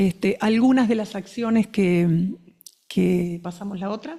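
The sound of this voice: A woman speaks at medium pitch with a dark, mellow tone. Her pace is slow, and her pitch varies in an ordinary way.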